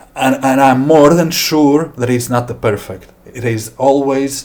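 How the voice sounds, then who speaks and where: Somewhat breathy, a man speaks with a Latvian accent and fairly even intonation. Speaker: software developer. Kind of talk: software demo tutorial. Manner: slow; halting.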